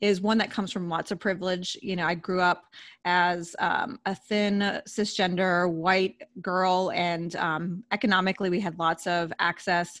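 In a very clean recording with a silent background, a woman with an unremarkable speaking voice talks at medium pitch with ordinary pitch variation. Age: 40s. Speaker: dietitian. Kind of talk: interview.

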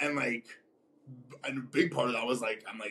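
A man speaks at a moderate pace and medium pitch, with ordinary pitch variation. His tone is bright and sharp with a slightly husky edge.

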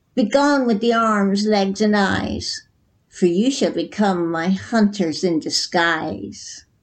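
A female-sounding put-on character voice, cackling at a medium pitch and a fairly slow pace

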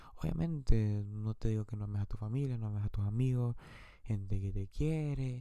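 A man talks at a moderate pace with a medium pitch and ordinary pitch variation. His tone is dark and mellow. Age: 20s. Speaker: podcaster. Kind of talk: personal monologue.

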